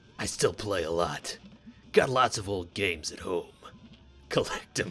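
Over music in the background, a man puts on a raspy character voice, fairly low in pitch with ordinary variation, at a moderate pace with big swings in loudness. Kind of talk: reading game dialogue aloud.

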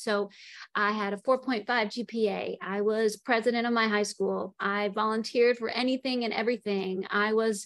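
A woman speaks at a moderate pace in a monotone, flat intonation. The background is quiet. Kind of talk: career talk presentation. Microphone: video call.

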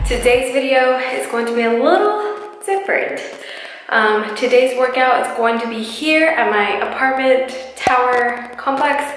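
With music in the background and audible room echo, a woman speaks at a fairly slow pace. Her high voice has lively intonation. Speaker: fitness vlogger. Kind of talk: casual vlog chat. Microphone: phone near.

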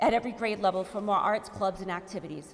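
A woman delivers her words fairly quickly, her pitch varying in an ordinary way. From Fall River, Massachusetts; Massachusetts. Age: 40s. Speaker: school committee candidate, teaching artist; candidate. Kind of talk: closing statement; candidate forum answers. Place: hall.

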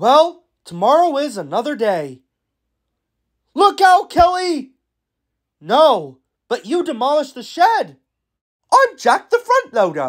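Speaking in a put-on character voice with a high pitch, this speaker moves at a fairly slow pace with long, frequent pauses. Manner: friendly, eager.

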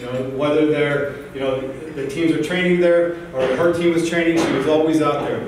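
A man's flat, monotone delivery at a fairly quick pace, with strong room echo and light background noise. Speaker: guest, soccer coach. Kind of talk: motivational speech. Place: hall. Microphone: camera far.

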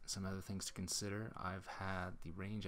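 Here a man speaks with a very deep, low pitch. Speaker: electric car owner. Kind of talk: scripted narration.

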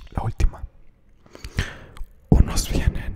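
A man whispering. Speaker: ASMR content creator. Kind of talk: ASMR quote reading to camera. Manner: soft-spoken, whispery. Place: home room. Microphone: studio mic.

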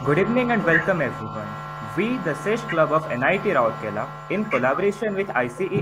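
Pitch swinging very widely, with noticeable background noise behind it. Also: man. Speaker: student moderator. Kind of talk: formal event moderation. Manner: formal. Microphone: video call.

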